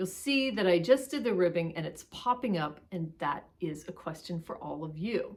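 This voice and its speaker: Her voice fairly low, a woman speaks at a moderate pace with lively intonation, big swings in loudness and hardly any pauses. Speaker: knitting vlogger. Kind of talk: casual chat. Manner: animated.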